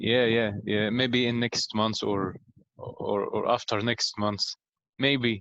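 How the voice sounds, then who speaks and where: A man talks very slowly at a medium pitch. His intonation is flat and monotone. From Egypt. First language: Arabic. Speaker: pharmacy student and English learner. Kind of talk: casual interview. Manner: halting, many fillers.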